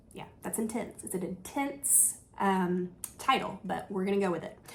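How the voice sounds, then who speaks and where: At a moderate pace and medium pitch, a woman speaks over noticeable background noise. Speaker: travel agent. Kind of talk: casual news recap. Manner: animated.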